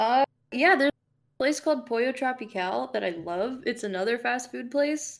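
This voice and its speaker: A woman speaks with a high pitch and an American accent. Her intonation is lively and her pace moderate. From South Florida, Fort Lauderdale area. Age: 20s. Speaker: indie game developer and composer. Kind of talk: casual chat.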